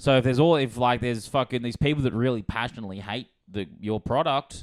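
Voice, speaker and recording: Speaking very fast in an animated tone, a man with an Australian accent has a medium pitch and ordinary pitch variation, captured with a dry, close sound with no echo. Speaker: comedy podcast host; stand-up comedian. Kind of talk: casual chat. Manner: loud.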